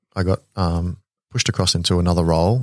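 A man with an Australian accent and a very deep, low pitch, in a dry, close sound with no echo and a very clean recording with a silent background. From Queensland, Australia (Ipswich), raised in military postings. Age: 30s. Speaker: air force officer and veteran nonprofit founder. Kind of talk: casual interview chat. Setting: studio.

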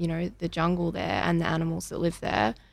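The recording is very clean and the background silent. Her words come with an Australian accent. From Australia, Melbourne. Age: 20s. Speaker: young entrepreneur and yoga studio worker. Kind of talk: asking questions in an interview. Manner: hesitant with many fillers.

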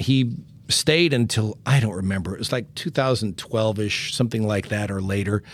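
A man speaks with a fairly low pitch and ordinary pitch variation. His pace is moderate, and his voice is an unremarkable speaking voice. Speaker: music therapist and podcast host. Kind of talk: casual interview chat.

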